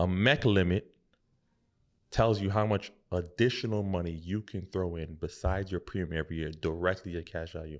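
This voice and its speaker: In a very clean recording with a silent background, a man with a very deep, low pitch speaks at a fairly quick pace with fairly even intonation. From Haitian family. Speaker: financial advisor. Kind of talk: casual interview.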